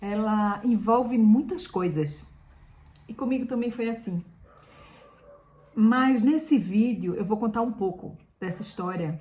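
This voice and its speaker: A woman speaks at a fairly slow pace with long, frequent pauses. Her fairly high, somewhat breathy voice has a dark, mellow tone and lively intonation. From Brazil, Pernambuco interior. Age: 50s. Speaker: lifestyle youtuber, former journalist. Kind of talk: personal vlog storytelling.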